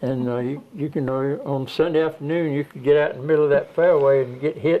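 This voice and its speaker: A man with a Georgia accent speaks at a fairly quick pace in a fairly high pitch, with noticeable background noise behind him. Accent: Southern American, Georgia. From Georgia, US South. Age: 90s. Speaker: elderly interviewee. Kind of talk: oral history interview. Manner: halting.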